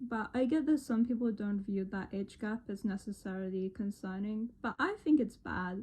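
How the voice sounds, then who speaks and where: Dark, mellow tone in a somewhat breathy female voice. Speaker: commentary youtuber. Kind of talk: video commentary. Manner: atypical speech from neurological condition. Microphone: phone recording, no professional audio.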